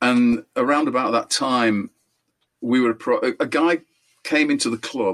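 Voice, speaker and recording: A man with a Yorkshire accent at a fairly slow pace, long, frequent pauses, very even loudness, and a dry, close sound with no echo. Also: medium pitch for a man, ordinary pitch variation. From northern England. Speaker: guitarist and singer. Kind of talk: casual interview chat.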